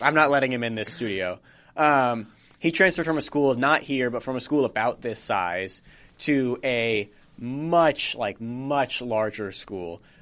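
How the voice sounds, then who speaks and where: A man talks at a medium pitch in a bright, sharp tone. His pitch varies in an ordinary way over a quiet background. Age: 20s. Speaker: college podcast host and editor. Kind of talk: casual chat. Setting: studio.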